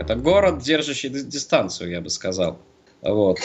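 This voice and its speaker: At a fairly slow pace, a man speaks. His voice sits at a medium pitch. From St. Petersburg area, Russia. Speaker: quiz show player and city guide. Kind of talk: casual chat. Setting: Skype call.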